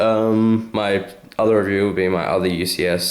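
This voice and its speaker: Audible room echo surrounds a man's speech. He has an Australian accent and fairly even intonation. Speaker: toy reviewer / YouTuber. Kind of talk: product review. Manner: hesitant, many fillers; casual.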